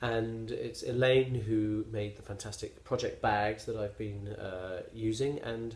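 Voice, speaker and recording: A somewhat breathy man with a West Country accent talks at a fairly slow pace in a monotone, flat intonation with hardly any pauses. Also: medium pitch for a man. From England, West Country (Somerset). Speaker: knitting podcaster. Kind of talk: casual vlog monologue. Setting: self-filmed at home on a tablet. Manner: hesitant, many fillers.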